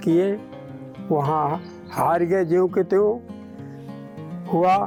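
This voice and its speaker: A man speaks in a high-pitched voice. Music plays in the background. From Lakhimpur Kheri, Uttar Pradesh, India. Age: 60s. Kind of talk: interview answer.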